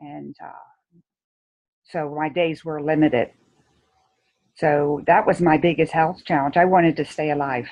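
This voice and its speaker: With a very deep, low pitch, a woman speaks at a fairly slow pace, leaving long, frequent pauses, her intonation fairly even and her loudness swinging widely. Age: 70s. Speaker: shame and guilt coach, former nurse. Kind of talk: interview.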